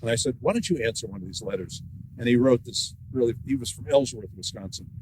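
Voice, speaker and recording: Somewhat breathy, a man speaks at a very fast pace in a medium pitch with ordinary pitch variation and big swings in loudness. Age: 70s. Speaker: author and former newspaper editor. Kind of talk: author talk with conversation.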